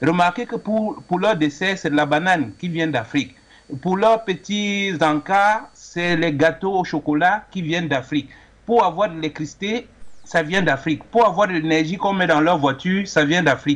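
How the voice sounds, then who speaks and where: A man talks in a high voice at a moderate pace. His pitch varies in an ordinary way. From Cameroon. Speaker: caller. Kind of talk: call-in opinion.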